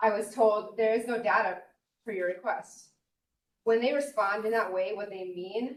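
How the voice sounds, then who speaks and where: A woman's voice sits at a fairly high pitch, its intonation fairly even. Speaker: local resident appellant, military veteran. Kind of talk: public hearing testimony. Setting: public board hearing. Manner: soft-spoken; fast.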